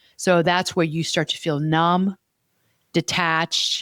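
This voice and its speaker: On a very clean recording with a silent background and a dry, close sound with no echo, a woman speaks at a fairly low pitch with monotone, flat intonation. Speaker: podcast host and therapist. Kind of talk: casual chat. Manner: fast when stressed.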